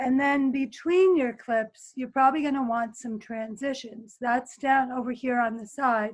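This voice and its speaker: The speech moves at a fairly slow pace with fairly even intonation. The background is quiet. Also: woman. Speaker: teacher running a video editing workshop. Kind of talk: tutorial. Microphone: webcam.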